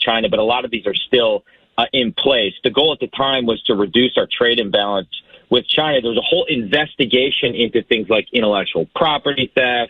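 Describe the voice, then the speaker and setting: A man with a normal speaking voice and an American accent, medium in pitch, at a fairly quick pace. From Wisconsin, United States. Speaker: U.S. congressman and former Marine. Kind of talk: radio interview answer.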